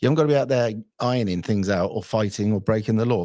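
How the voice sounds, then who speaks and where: On a very clean recording with a silent background, a man with an English accent speaks at a very fast pace, his medium-pitched voice dark and mellow in tone. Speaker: livestream host taking callers. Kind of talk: casual live stream chat.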